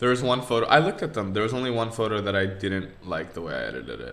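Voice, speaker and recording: A man mumbles at a very fast pace, his pitch fairly low with ordinary variation. Audible room echo and noticeable background noise surround his words. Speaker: podcast co-host. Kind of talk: casual chat. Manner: mumbling.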